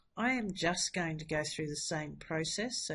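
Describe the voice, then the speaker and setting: Over a quiet background, a woman speaks at fairly low pitch. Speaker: maths teacher. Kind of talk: maths tutorial. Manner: casual, chatty.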